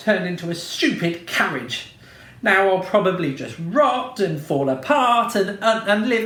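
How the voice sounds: The speaker reads with a natural reading voice. Pitch moves in an ordinary way.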